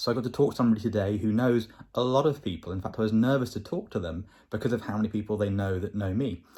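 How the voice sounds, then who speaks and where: Talking at a very fast pace with a southern English accent, a man uses a medium pitch, a dark, mellow tone, a somewhat breathy quality and ordinary pitch variation in a very clean recording with a silent background. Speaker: vlogger. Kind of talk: video diary.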